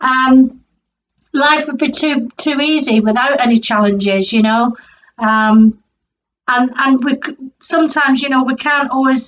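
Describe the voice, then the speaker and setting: The delivery is fairly slow, with long, frequent pauses. Intonation stays fairly even. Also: woman, high pitch for a woman. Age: 50s. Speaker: tarot reader. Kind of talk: tarot reading monologue. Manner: hesitant, many fillers.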